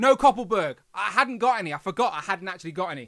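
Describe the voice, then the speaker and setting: A man with a West Midlands accent talks at a fairly quick pace with lively intonation. The recording is very clean and dry, close-up with a silent background and no echo. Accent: English, Coventry. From England, Coventry. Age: 30s. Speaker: toy review youtuber. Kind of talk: live stream casual chat. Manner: fast.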